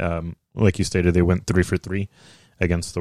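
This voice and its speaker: In a very deep, low voice and an American accent, a man talks at a moderate pace in a flat monotone, recorded dry and close with no echo against a silent background on a very clean recording. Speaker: podcast host.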